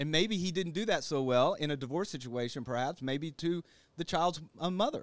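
With a plain, everyday voice, a man speaks at a moderate pace and a fairly high pitch, his pitch variation ordinary. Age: 50s. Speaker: licensed counselor. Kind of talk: casual interview.

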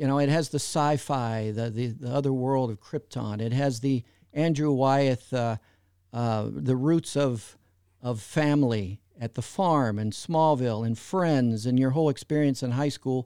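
A man speaks at a fairly slow pace in a dark, mellow tone. The sound is dry and close with no echo, on a very clean recording with a silent background. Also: medium pitch for a man, ordinary pitch variation. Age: 60s. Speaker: fan website founder and podcaster. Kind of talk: interview.

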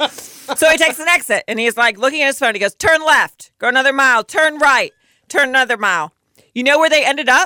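On a very clean recording with a silent background, a woman uses a raised, projected voice, high in pitch and bright and sharp in tone, talking at a very fast pace with ordinary pitch variation. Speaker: podcast co-host. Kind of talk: casual chat.

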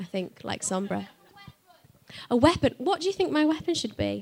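With a Yorkshire accent, a woman speaks at a fairly quick pace. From northern England. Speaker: voice actress. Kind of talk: live panel Q&A. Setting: stage with audience.

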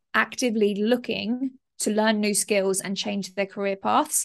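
Against a quiet background, a woman of medium pitch talks with a British accent. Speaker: entrepreneur and course creator. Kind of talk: interview. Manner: fast talker; animated.

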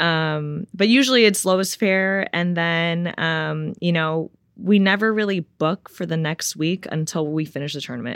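With a Californian accent, a woman at a fairly low pitch talks at a moderate pace, with ordinary pitch variation and hardly any pauses. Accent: Californian American. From Los Angeles, California. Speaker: professional tennis player. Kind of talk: casual interview chat. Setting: in-person studio. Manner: many filler ums.

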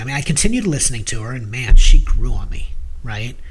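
Noticeable background noise accompanies a man whose lively intonation carries a fairly quick pace. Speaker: podcast co-host. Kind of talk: casual discussion of music.

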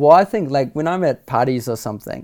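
On a very clean recording with a silent background, a man with a New Zealand accent speaks fairly quickly in a dark, mellow tone. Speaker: filmmaker. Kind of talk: casual interview chat.

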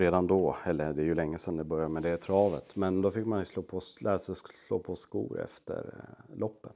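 With a dark, mellow tone and a very deep, low pitch, a man speaks at a moderate pace with fairly even intonation. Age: 40s. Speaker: farrier. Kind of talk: interview. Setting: indoor riding arena at an equine clinic. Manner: halting.

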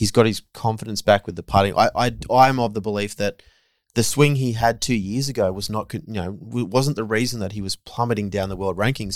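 A man with an Australian accent talks at a fairly quick pace in a fairly low pitch. The recording is very clean and the background silent. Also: ordinary pitch variation. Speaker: golf journalist. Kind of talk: casual chat. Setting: on location at golf tournament.

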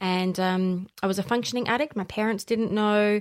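Talking at a fairly quick pace with fairly even intonation, a woman with an Australian accent is heard on a very clean recording with a silent background. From South Australia, Barossa. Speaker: facilitator and holistic practitioner. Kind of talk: casual interview chat.

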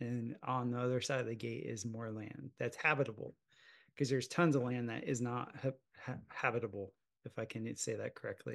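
A man has a normal speaking voice with an American accent. He talks fairly quickly at a medium pitch with fairly even intonation. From US South, South Florida. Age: 40s. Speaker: podcast host. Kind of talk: casual interview conversation.

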